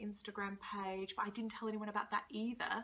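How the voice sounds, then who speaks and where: Bright and sharp in tone, a woman talks with an Australian accent. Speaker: blogger and vlogger. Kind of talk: casual vlog introduction. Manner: chatty, many filler ums.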